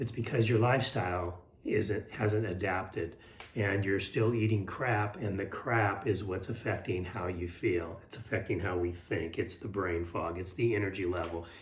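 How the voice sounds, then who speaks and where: Over noticeable background noise and audible room echo, a man talks at a moderate pace in a fairly low voice with fairly even intonation. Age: 60s. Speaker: health and lifestyle vlogger. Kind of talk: casual motivational talk to camera. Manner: hesitant, many fillers and repeats.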